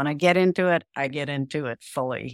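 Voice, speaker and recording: A woman's very deep, low pitch with vocal fry and fairly even intonation, in a dry, close sound with no echo on a very clean recording with a silent background. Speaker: podcast guest. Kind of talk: casual chat.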